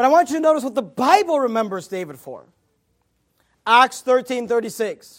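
With lively intonation and an animated tone, a man speaks at a moderate pace in an extremely high voice, in a very clean recording with a silent background. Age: 30s. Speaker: pastor. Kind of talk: sermon. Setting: church.

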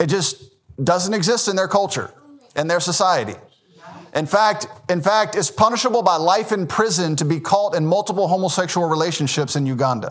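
A man's high voice with a Southern US accent, fairly quick in pace, with ordinary pitch variation. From US South, Memphis, Tennessee. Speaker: Baptist pastor. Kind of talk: sermon.

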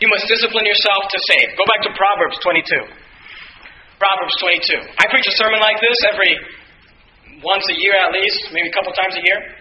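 Over noticeable background noise and audible room echo, a man with a high voice speaks at a fairly quick pace with fairly even intonation and long, frequent pauses. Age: 20s. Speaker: pastor. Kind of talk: sermon.

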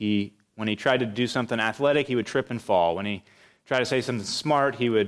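The reading voice is unforced, with ordinary pitch variation, and the background is quiet.

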